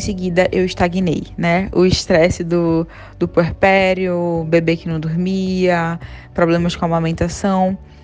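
A woman with a fairly low voice speaks fairly slowly in a flat, monotone way. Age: 30s. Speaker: systems analyst sharing health story. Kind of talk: testimony.

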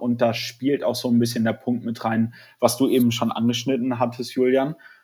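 This man talks at a medium pitch in a flat, monotone delivery. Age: 20s. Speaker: startup founder and student. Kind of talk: interview. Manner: halting, many fillers.

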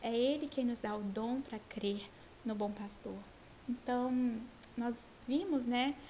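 A woman speaks at a very slow pace in a high pitch, with ordinary pitch variation and long, frequent pauses. Noticeable background noise is present. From Brazil, Vitória, Espírito Santo. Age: 20s. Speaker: Bible teacher in women's ministry. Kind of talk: Bible study conversation.

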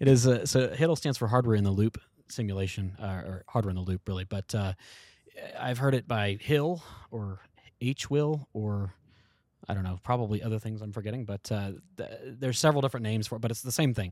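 A plain, everyday voice with an American accent talks at a fairly quick pace, with ordinary pitch variation. The sound is dry and close with no echo, in a very clean recording with a silent background. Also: man, medium pitch for a man. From US South, Shenandoah Valley, Virginia. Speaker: guidance and navigation engineer. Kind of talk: casual chat.

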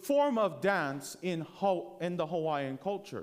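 Here a man is talking. His pitch is high. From Hawaii (Oahu). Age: 20s. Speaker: theology student and pastoral intern preaching. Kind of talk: sermon. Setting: church with congregation.

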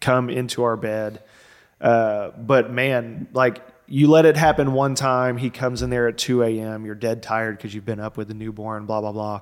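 A man talks in a plain, everyday voice of medium pitch at a moderate pace. His intonation is fairly even, though his loudness swings widely. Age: 30s. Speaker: podcast host. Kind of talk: casual chat.

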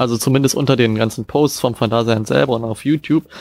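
At a very fast pace, a man talks in a dry, close recording with no echo. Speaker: music producer, podcast co-host. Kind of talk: casual chat. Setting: video call. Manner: loud.

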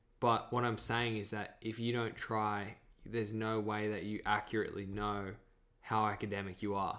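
A man with an Australian accent, a fairly low pitch, a bright, sharp tone and monotone, flat intonation. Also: moderate pace, very clean recording, silent background. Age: 20s. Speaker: actor. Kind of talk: casual chat.

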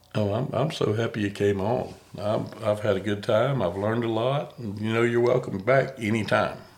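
A man at a medium pitch, moderate pace and fairly even intonation, against noticeable background noise. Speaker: podcast host. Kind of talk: casual interview. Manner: halting, stutters at times.

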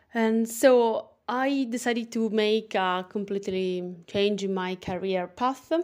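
Speaking in an Italian accent, a woman uses a fairly high pitch with ordinary pitch variation. Her pace is very slow, with hardly any pauses. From Italy. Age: young. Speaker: personal trainer and wellness podcaster. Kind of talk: casual monologue. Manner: animated; halting.

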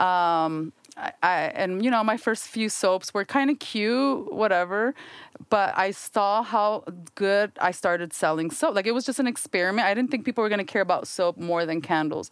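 Using a normal speaking voice, a woman at medium pitch talks at a moderate pace with ordinary pitch variation. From US, Mexican-American family. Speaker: soap and candle entrepreneur. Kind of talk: casual chat.

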